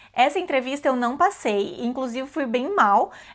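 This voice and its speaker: Against a silent background on a very clean recording, a woman speaks at a moderate pace with a high pitch and lively intonation. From Brazil. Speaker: vlogger. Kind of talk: casual storytelling vlog. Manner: casual with many fillers and self-corrections.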